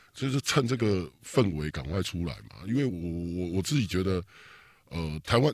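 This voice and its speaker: On a very clean recording with a silent background, a man with a very deep, low pitch speaks at a fairly quick pace in an animated tone with very wide pitch swings. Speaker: political podcast host. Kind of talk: casual chat.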